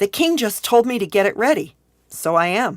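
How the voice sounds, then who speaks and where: A woman's put-on character voice, raspy and fairly high-pitched, with very wide pitch swings at a moderate pace. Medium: read story. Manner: warm, gentle.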